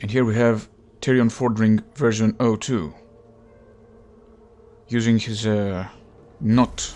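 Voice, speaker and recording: Speaking very slowly with a non-native accent, a man keeps his intonation fairly even and leaves long, frequent pauses. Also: medium pitch for a man. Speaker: gaming YouTuber. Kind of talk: casual gameplay commentary.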